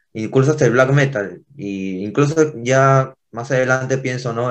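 A man with an unremarkable speaking voice talks at a fairly slow pace. His pitch variation is ordinary. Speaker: punk band guitarist. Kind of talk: casual interview.

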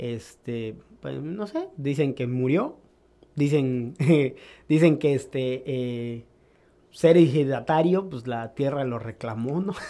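Speaking at a very slow pace, a man with a fairly high pitch and a dark, mellow tone lets his loudness swing widely. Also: ordinary pitch variation. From Mexico, Córdoba, Veracruz. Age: 30s. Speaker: graffiti artist. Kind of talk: casual chat.

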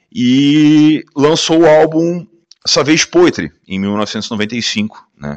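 A man's pitch swings very widely as he talks, with a quiet background behind him. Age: 40s. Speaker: podcast host. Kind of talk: casual monologue. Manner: animated.

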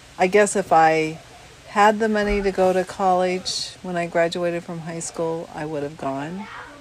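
Noticeable background noise sits behind a woman with an American accent who talks at a moderate pace with fairly even intonation. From Washington State, US. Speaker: host's mother. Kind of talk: casual family interview.

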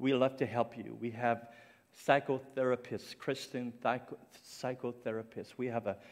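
A man speaks at a moderate pace. His intonation stays flat and monotone. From Cape Breton Island, Canada. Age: 50s. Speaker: ministry founder and guest speaker. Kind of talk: sermon. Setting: church stage with audience. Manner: halting, with many fillers.

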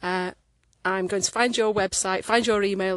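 Recorded dry and close with no echo against a quiet background, a woman speaks at medium pitch and a moderate pace. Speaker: listener seeking furniture supplier. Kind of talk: recorded voice message.

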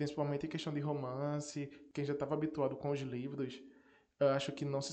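There is audible room echo around a man's voice. He has a fairly high pitch and a dark, mellow tone. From Northeast Brazil. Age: 20s. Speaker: podcast host. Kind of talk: casual solo podcast talk.

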